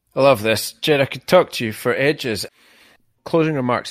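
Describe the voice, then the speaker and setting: A man at a fairly quick pace, dry and close with no echo, in a very clean recording with a silent background. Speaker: podcast host, veterinarian. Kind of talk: interview conversation.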